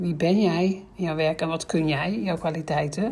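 A woman with a fairly low pitch speaks in a dark, mellow, somewhat breathy voice with fairly even intonation. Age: 50s. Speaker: career coach. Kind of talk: solo podcast explainer.

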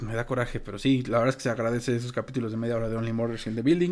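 A man is speaking. He has a Mexican accent. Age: 30s. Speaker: podcast co-host. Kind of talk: casual chat.

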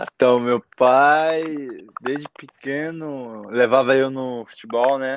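A man's medium-pitched voice, fairly even in intonation, unfolds at a very slow pace. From Japan (born in Brazil, moved as infant). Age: 20s. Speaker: young footballer. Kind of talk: casual interview chat. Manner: halting.

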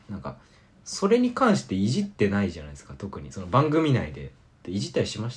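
The speaker races along at a very fast pace with very wide pitch swings and big swings in loudness. Vocal fry creeps into the voice. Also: man, fairly low pitch for a man. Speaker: college radio podcast host. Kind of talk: casual chat.

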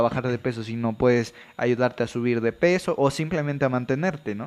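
The speaker is a man with an ordinary speaking voice. He goes at a moderate pace with fairly even intonation. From Veracruz, Mexico. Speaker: podcast co-host, medical student. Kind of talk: casual chat.

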